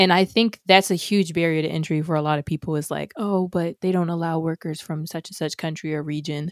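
A woman with fairly low pitch and a normal speaking voice talks at a fairly quick pace with hardly any pauses and fairly even intonation, the recording very clean with a silent background and a dry, close sound with no echo. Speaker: developer advocate. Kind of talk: casual chat.

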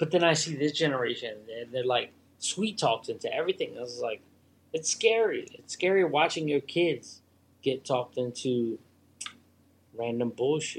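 A man talks at a moderate pace with lively intonation and a fairly high pitch. He leaves long, frequent pauses. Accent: American. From Philadelphia. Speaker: guest. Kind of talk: casual chat. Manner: animated.

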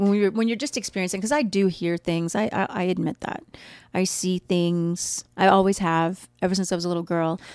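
A woman with a plain, everyday voice at medium pitch, talking at a fairly quick pace with fairly even intonation on a very clean recording over a silent background. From US Midwest. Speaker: podcast co-host. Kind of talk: casual chat. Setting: studio.

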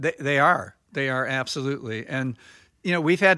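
A man's ordinary speaking voice, fairly high in pitch with ordinary pitch variation, on a very clean recording with a silent background. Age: 60s. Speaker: architect, firm principal and chairman. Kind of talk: interview.

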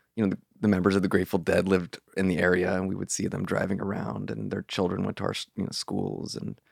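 A man speaks with a fairly low pitch. The sound is dry and close with no echo, on a very clean recording with a silent background. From US West Coast, Marin County, California. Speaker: writer and magazine interviews editor. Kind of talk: casual interview conversation.

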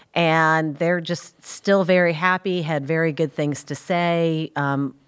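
Recorded very cleanly against a silent background, a woman speaks with an American accent and fairly even intonation. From New Jersey, US. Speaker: wealth advisor. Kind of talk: casual business podcast chat.

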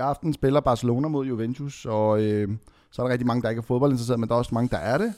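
At a very fast pace, a man speaks with a medium pitch and a dark, mellow tone. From Lebanon. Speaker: podcast co-host. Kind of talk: casual chat.

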